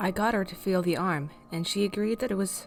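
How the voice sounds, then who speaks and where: Over music in the background, a woman speaks at a moderate pace and medium pitch with lively intonation. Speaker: horror story narrator. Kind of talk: horror story reading.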